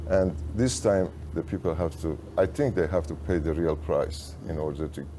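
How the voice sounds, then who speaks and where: At a moderate pace, a man speaks with a very deep, low pitch and a dark, mellow tone that is somewhat breathy. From Iran, Tehran. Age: 70s. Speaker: insurance agent, business owner. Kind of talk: interview conversation.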